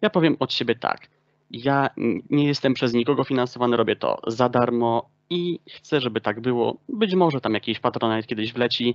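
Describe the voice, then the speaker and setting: Speech comes at a moderate pace with ordinary pitch variation. The sound is dry and close with no echo, against a quiet background. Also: man, medium pitch for a man. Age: 20s. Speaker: political talk show host. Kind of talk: political interview. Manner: hesitant, with self-corrections.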